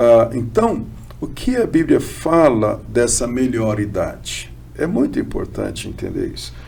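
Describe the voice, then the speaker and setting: A man talking at a fairly slow pace, with noticeable background noise and audible room echo. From Brazil, São Paulo state (Ribeirão Preto). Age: 60s. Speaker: bishop and theologian. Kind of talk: podcast interview.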